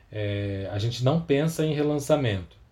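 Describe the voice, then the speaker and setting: Moderate pace and a man's medium pitch, with a dark, mellow tone, somewhat breathy, and ordinary pitch variation. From Campinas, interior of São Paulo state, Brazil. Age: 30s. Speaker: record label founder and vinyl collector. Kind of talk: podcast interview.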